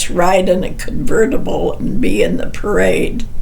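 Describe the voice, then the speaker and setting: A woman talks with an American accent. Audible room echo and noticeable background noise come through. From US South, North Carolina. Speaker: grandmother telling family history. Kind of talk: casual chat.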